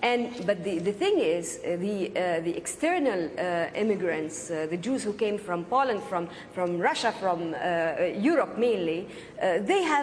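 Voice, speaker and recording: Amid noticeable background noise and audible room echo, a woman with a medium pitch speaks fairly slowly with lively intonation. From Palestine. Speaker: filmmaker. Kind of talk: heated debate. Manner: halting, many fillers.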